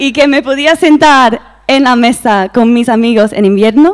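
Over a quiet background, a woman with a non-native accent speaks at a fairly slow pace with an energetic tone, a high pitch and very wide pitch swings. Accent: foreign accent in Spanish. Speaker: English teacher. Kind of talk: TEDx-style talk. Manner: lively, energetic. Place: stage. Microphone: handheld.

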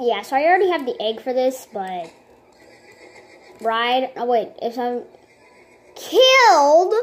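A woman speaks at a high pitch with very wide pitch swings. Her pace is fairly slow. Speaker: gamer. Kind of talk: casual gameplay commentary. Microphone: phone near.

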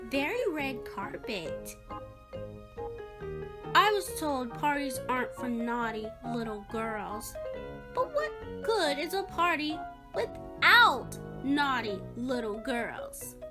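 A woman uses a put-on character voice, high in pitch and bright, sharp in tone. She speaks slowly with big pitch swings as faint music plays in the background.

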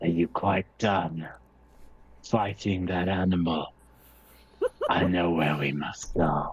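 A put-on character voice at a fairly slow pace, with long, frequent pauses. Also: man, very deep, low pitch for a man. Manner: cryptic, solemn.

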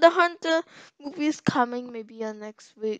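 A raised, projected voice with a bright, sharp tone comes through at a fairly slow pace, in a dry sound with no echo over a quiet background. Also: woman. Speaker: gaming video creator. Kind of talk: casual vlog chat. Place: home room. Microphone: headset.

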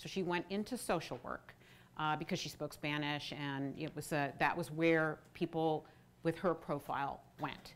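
A woman speaks at a moderate pace in a very deep, low voice with fairly even intonation. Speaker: policy researcher; speaker. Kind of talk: lecture presentation. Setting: stage with audience. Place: stage. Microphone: lapel.

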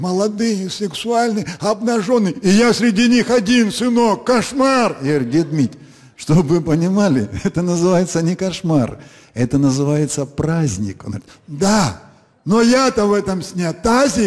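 A man speaks with lively intonation at a fairly slow pace over a quiet background. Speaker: comedian. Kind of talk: stand-up comedy monologue. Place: stage. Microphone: handheld.

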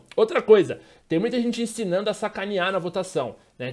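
A man talks at a very fast pace, his pitch varying in an ordinary way, against a quiet background. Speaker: gaming youtuber. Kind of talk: casual vlog chat. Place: home room. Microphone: studio mic.

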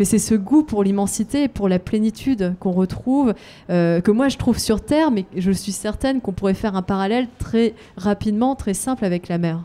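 Dark, mellow tone from a woman at a moderate pace with ordinary pitch variation. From France. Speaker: adventurer and author. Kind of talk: interview. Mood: reflective, warm. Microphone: handheld.

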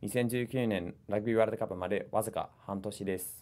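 This man speaks with a New Zealand accent at a fairly low pitch. His intonation is monotone and flat. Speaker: international relations coordinator. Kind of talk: language lesson. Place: meeting room.

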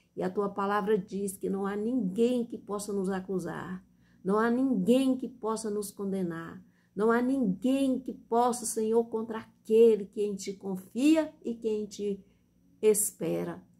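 Very slow, solemn female voice, dark and mellow and somewhat breathy, with a Brazilian accent. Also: ordinary pitch variation. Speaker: church deaconess preacher. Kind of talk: evangelical sermon and Bible reading. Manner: impassioned, earnest and heartfelt, with the solemn cadence of an evangelical prayer. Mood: fervent, emotional prayer. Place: home room. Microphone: phone near.

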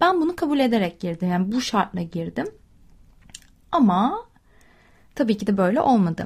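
Somewhat breathy, a woman at medium pitch talks at a moderate pace with very wide pitch swings and long, frequent pauses. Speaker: podcast host. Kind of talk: casual monologue.

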